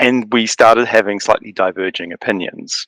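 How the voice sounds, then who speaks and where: Someone speaks in a New Zealand accent with a bright, sharp tone and fairly even intonation. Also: man. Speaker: writer and content strategist. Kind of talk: casual chat.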